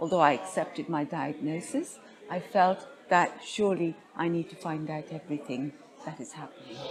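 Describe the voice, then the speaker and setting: With music in the background, a woman speaks at a moderate pace in a very deep, low pitch, showing ordinary pitch variation and big swings in loudness. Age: 60s. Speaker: cancer patient advocate. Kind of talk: interview. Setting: conference.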